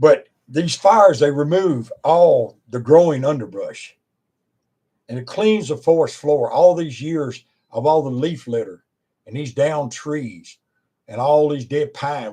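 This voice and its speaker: This man speaks fairly slowly with an American accent, his fairly high pitch showing ordinary variation while his dark, mellow tone swings widely in loudness. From Virginia, US. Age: 70s. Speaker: preacher and former wildland firefighter. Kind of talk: informal talk to camera.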